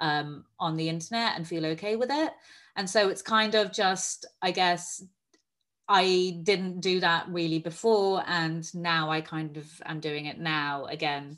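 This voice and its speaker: Recorded very cleanly against a silent background, a woman with an ordinary speaking voice talks at a fairly low pitch and fairly slow pace, with ordinary pitch variation. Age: 30s. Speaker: magazine editor and writer. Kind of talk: panel discussion.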